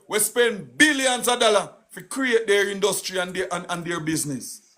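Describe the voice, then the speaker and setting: Lively intonation and an animated tone from a man with a Jamaican accent, his voice raised and projected, at a moderate pace. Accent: Jamaican, Patois. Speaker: political live streamer. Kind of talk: political rant on live stream. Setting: live stream. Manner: loud.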